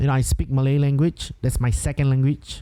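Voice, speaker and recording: A man's dark, mellow tone with a Singaporean accent. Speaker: podcast host, entrepreneur. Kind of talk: solo podcast monologue. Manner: casual, filler-heavy with hesitations.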